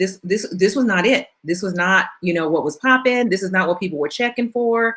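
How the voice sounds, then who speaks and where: At a fairly quick pace, a woman uses an ordinary speaking voice at medium pitch with lively intonation. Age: 40s. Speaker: plus size model and blogger. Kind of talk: casual chat.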